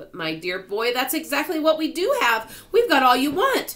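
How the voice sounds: A woman's high, fairly bright put-on character voice, with very wide pitch swings at a moderate pace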